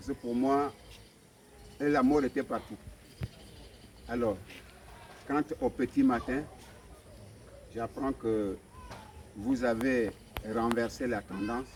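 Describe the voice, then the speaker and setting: A man at a medium pitch and a very slow pace, with long, frequent pauses and fairly even intonation. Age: 60s. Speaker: evicted resident. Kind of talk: testimony. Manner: halting.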